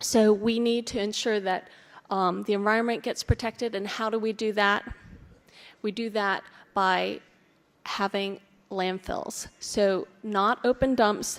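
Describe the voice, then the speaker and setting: Speaking in an American accent, the voice moves at a fairly slow pace with monotone, flat intonation on a very clean recording with a silent background. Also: woman. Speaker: conference speaker on waste management. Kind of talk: presentation.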